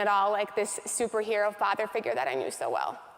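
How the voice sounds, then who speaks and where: A plain, everyday voice with an American accent, fairly quick pace and fairly even intonation. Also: woman. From US Midwest, North Dakota. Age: 30s. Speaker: motivational speaker. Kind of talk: keynote speech.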